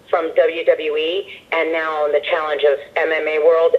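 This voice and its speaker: A woman talks at a moderate speed against noticeable background noise. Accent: American. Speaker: ring announcer and singer. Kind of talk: interview answer.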